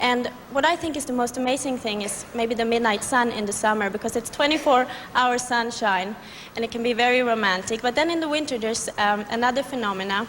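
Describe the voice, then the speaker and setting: Over noticeable background noise, a woman speaks fairly quickly at a high pitch with ordinary pitch variation. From Sweden. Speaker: beauty pageant contestant. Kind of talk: interview.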